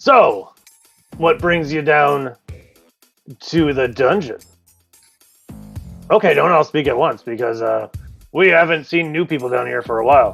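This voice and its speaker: A man speaks in a raspy, put-on character voice pitched fairly high, at a moderate pace. He leaves long, frequent pauses while faint music plays in the background. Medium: actual play. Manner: hearty, back-slapping.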